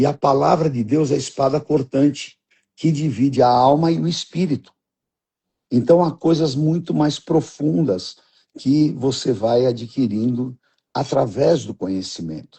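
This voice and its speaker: A man speaks in a somewhat breathy way. His pitch is fairly high. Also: ordinary pitch variation, fairly slow pace. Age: 70s. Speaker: pastor. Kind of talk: religious teaching conversation.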